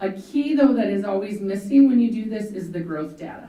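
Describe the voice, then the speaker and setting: At a fairly quick pace, a woman talks with lively intonation at a medium pitch, amid noticeable background noise and audible room echo. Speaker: school district administrator. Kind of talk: presentation to a school board. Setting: school board meeting room. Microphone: microphone broke, speaking without mic.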